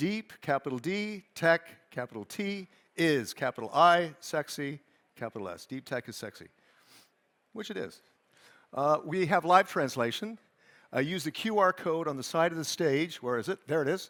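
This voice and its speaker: A man with a Californian accent speaks at a moderate pace with a fairly high pitch, lively intonation, an animated tone and big swings in loudness, leaving long, frequent pauses. The sound is dry and close with no echo, on a very clean recording with a silent background. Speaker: conference moderator, journalist. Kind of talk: event stage moderation. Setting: stage with live audience, streamed. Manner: animated, conversational.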